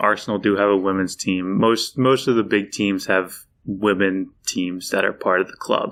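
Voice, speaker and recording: With a Philadelphia accent, a man speaks at a moderate pace in a fairly low pitch with monotone, flat intonation. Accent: Philadelphia American. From Philadelphia, US. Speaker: football fan, library patron. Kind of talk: casual podcast chat. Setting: podcast recording.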